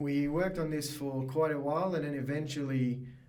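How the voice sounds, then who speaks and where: The speech moves at a moderate pace with audible room echo. Noticeable noise sits in the background. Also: man. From Mauritius. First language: Mauritian Creole or French. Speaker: biotech startup founder. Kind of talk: podcast interview. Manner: hesitant, many fillers.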